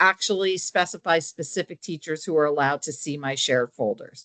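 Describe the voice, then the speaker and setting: A woman speaks with lively intonation. The sound is dry and close with no echo, and the background is quiet. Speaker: software trainer for teachers. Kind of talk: tutorial. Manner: fast.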